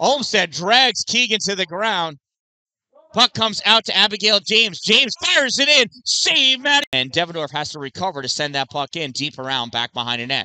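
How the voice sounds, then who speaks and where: Raised and projected, a man's high-pitched voice moves at a moderate pace with very wide pitch swings and an animated tone, the sound dry with no echo. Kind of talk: live commentary. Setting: youth girls hockey game broadcast. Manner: animated, excitable on saves and near-misses. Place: stadium.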